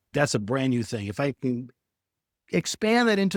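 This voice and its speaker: A man's plain, everyday voice at a medium pitch, fairly quick pace, very clean recording with a silent background. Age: 60s. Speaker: remote worker. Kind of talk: coaching session talk.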